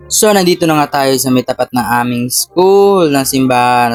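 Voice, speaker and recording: A man at a fairly quick pace with ordinary pitch variation, in a dry, close sound with no echo. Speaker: vlogger. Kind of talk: casual vlog. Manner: casual, chatty.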